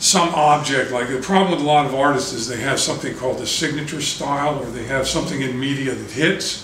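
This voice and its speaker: Noticeable background noise and audible room echo surround a man. He talks at a fairly quick pace. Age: 60s. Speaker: artist. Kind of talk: interview. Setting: his apartment.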